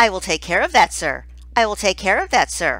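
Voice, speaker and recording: A put-on character voice at a fairly quick pace on a very clean recording with a silent background. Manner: cruel, sarcastic, mocking.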